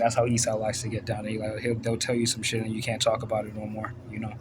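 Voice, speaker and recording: The speaker goes at a fairly quick pace in a monotone, flat delivery, with audible room echo around the voice. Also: man. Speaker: religious commentator. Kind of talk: casual monologue. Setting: bedroom at night. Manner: casual, filler-heavy.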